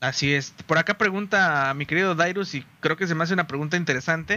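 Using a plain, everyday voice, a man talks at a fairly quick pace and fairly high pitch with ordinary pitch variation. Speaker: podcast host. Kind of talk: casual chat. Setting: live stream.

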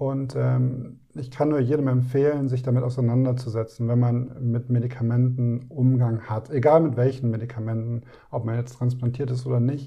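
At a moderate pace and with hardly any pauses, a man talks in a dark, mellow, somewhat breathy tone with monotone, flat intonation. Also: medium pitch for a man. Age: 30s. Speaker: heart transplant recipient. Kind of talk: interview.

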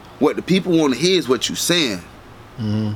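Noticeable background noise sits behind a man with a Southern US accent. He keeps a moderate pace and ordinary pitch variation. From Dade City, Florida. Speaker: rapper. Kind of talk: casual interview.

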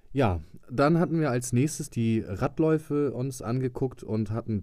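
A man speaks in a dark, mellow tone. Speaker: podcast host, van camper conversion hobbyist. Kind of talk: casual solo podcast monologue.

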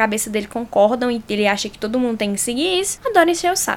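A woman talking at a fairly quick pace over noticeable background noise. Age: 20s. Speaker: podcast host. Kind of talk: solo podcast monologue. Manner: animated.

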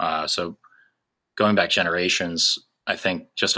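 Bright and sharp in tone, a man talks at a very deep, low pitch in a monotone, flat intonation on a very clean recording with a silent background. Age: 20s. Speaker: podcast co-host, engineering sales representative. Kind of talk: casual podcast introduction.

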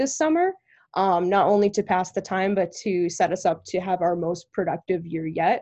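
Against a quiet background, a woman speaks at a moderate pace with an American accent and medium pitch. She has a plain, everyday voice. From Connecticut, raised by Long Island and New Hampshire parents. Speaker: college student leader. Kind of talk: interview.

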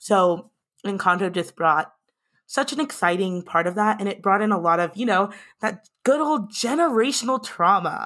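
A woman speaks at a moderate pace with lively intonation and a medium pitch. The recording is very clean, with a silent background. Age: 20s. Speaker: podcast host and social media manager. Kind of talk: casual chat.

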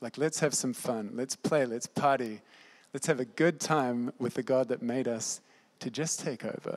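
A man's plain, everyday voice with fairly even intonation. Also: medium pitch for a man, moderate pace. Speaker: Bible school student. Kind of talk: sermon. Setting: stage with audience.

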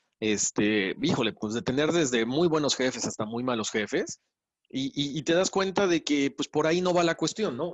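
A man talks at a moderate pace and a fairly high pitch. His pitch swings very widely. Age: 40s. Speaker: radio host and podcast producer. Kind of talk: interview conversation. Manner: halting with repetitions.

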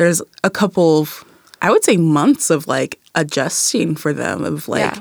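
With an American accent, a woman talks at a moderate pace in a very deep, low pitch with vocal fry, and the sound is dry and close with no echo. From Kent, Washington (US Pacific Northwest). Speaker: university student. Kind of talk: casual interview chat. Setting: studio.

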